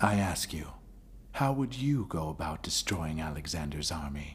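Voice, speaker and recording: A man puts on a character voice with a very deep, low pitch. He uses lively intonation and a moderate pace. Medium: fan dub. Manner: imperious.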